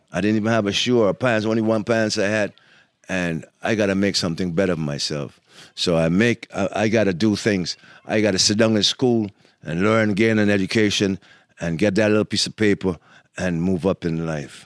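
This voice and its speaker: In a normal speaking voice, a man speaks at a fairly quick pace and fairly low pitch, with a dry, close sound with no echo and a very clean recording with a silent background. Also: ordinary pitch variation. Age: 60s. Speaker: podcast host's father, grandfather. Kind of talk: casual chat.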